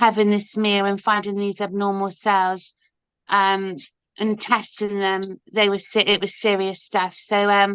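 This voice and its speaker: A woman in a West Country accent, monotone and flat, at a fairly slow pace against a quiet background. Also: medium pitch for a woman. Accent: Dorset. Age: 50s. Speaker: ostomy advocate and busker. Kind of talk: interview. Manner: halting, many fillers.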